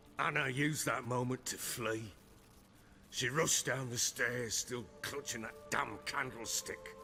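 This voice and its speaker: Over clear background music, a man uses a put-on character voice that sounds raspy. He speaks at medium pitch and a fairly slow pace. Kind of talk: video game drama. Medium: video game. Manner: gruff, coarse, brooding.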